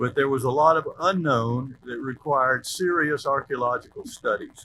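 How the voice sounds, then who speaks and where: A man talks at a moderate pace, his pitch fairly high with ordinary variation. Noticeable background noise runs underneath. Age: 70s. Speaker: former city mayor. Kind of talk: commemorative speech.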